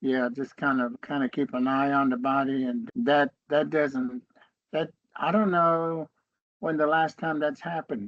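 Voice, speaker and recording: A man with a fairly high pitch talks fairly slowly with ordinary pitch variation, in a dry, close sound with no echo. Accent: Appalachian. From western North Carolina, US. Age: 70s. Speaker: Cherokee elder and educator. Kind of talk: interview conversation.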